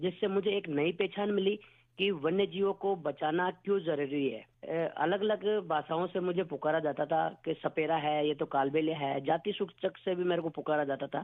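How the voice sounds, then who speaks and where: A man with a high-pitched voice talks with hardly any pauses. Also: ordinary pitch variation. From Rajasthan, village near Pushkar. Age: 40s. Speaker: wildlife conservationist, radio listener. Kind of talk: radio listener phone-in testimony. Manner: halting.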